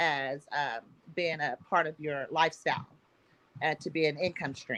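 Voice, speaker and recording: A woman speaks at a moderate pace. She has an Oklahoma accent. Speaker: agricultural organization founder. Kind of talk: panel discussion.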